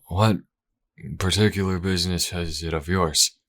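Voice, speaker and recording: A man's raspy, put-on character voice at a very deep, low pitch and moderate pace. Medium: read story.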